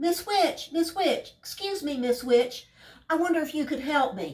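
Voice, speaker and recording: A woman puts on a squeaky, high-pitched character voice at a moderate pace. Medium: read story. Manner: earnest, flustered.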